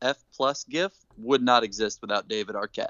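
Speaking at a moderate pace, a man uses lively intonation in a medium pitch. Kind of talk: casual podcast banter, not stand-up. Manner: animated, enthusiastic, playfully teasing.

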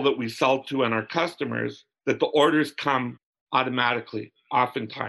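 A man's bright, sharp voice in a Canadian prairie accent, with vocal fry, fairly even intonation and a moderate pace. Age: 60s. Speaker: business owner, glove manufacturer. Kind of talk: interview.

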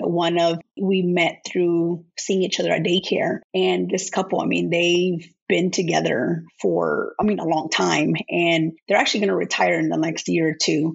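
Fairly slow, nearly pause-free American-accented speech at a very even volume. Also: woman. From Florida, small town. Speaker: army veteran. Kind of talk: interview.

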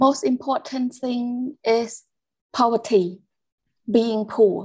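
A woman with a Cambodian accent talks with fairly even intonation on a very clean recording with a silent background. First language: Khmer. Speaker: care leaver and youth advocate. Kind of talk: interview testimony.

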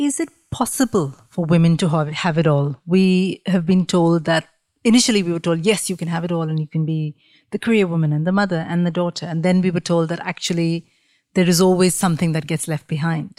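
A woman with a dark, mellow tone talks at a fairly quick pace, her pitch fairly low with ordinary variation. The audio is dry and close with no echo, a very clean recording with a silent background. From India. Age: 40s. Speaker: podcast host. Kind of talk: interview. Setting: in person at guest's dining table.

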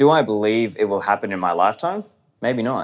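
Against a quiet background, a man with an Australian accent speaks fairly quickly at a medium pitch with lively intonation. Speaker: podcaster and libertarian commentator. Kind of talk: interview conversation.

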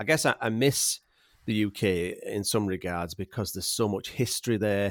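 A man with a Yorkshire accent, fairly low in pitch with ordinary pitch variation, at a moderate pace, in a very clean, dry, close recording with a silent background and no echo. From Yorkshire, England. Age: 40s. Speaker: landscape photographer. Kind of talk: casual chat. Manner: jokey, humorous.

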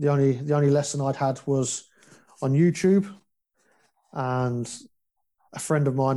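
A man with a southern English accent speaks at a moderate pace and a fairly high pitch. His tone is dark and mellow, his intonation fairly even. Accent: English (southern England). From West London, England. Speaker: foster care survivor sharing story. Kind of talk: casual interview, personal testimony.

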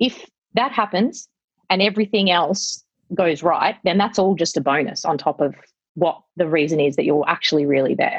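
Speaking with an Australian accent, a woman keeps a very even loudness and a moderate pace, her medium-pitched voice carrying lively intonation. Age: 40s. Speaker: wedding venue operator. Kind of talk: casual chat.

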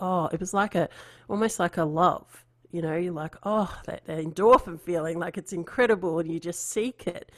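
A woman with an Australian accent, fairly low-pitched, with fairly even intonation, on a very clean recording against a silent background. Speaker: artist and podcast host. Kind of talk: interview.

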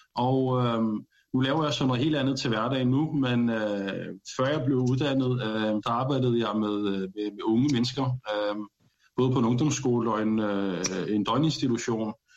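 A man speaks slowly at a medium pitch, his intonation fairly even and his loudness very even. Room echo is audible. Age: 30s. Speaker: panel guest. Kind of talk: casual discussion. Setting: studio.

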